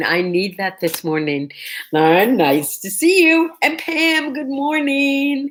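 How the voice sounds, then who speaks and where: A woman is speaking. Her pitch swings very widely. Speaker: livestream host. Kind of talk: casual chat. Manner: quieter than usual.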